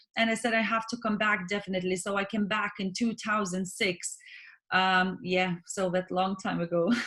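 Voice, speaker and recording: A woman with a Lithuanian accent, medium pitch, very even loudness and a moderate pace. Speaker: swimming coach and business owner. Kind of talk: interview. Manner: halting.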